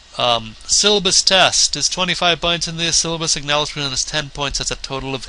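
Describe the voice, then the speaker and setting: A man's moderately paced speech, with ordinary pitch variation, comes through noticeable background noise. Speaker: college theater instructor. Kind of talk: recorded course orientation lecture.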